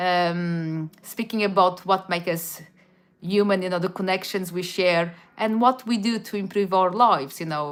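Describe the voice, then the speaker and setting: Someone with a Portuguese accent talks at a moderate pace in fairly even intonation, in a very clean recording with a silent background. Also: woman, medium pitch for a woman. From Portugal, Madeira. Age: 40s. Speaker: YouTuber. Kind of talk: casual livestream chat. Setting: live stream. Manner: halting, many restarts.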